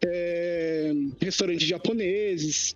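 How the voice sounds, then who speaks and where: Music in the background behind a male speaker, pitch varying in an ordinary way. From Brazil, Poá (São Paulo state). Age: 20s. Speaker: podcast guest. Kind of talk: casual chat.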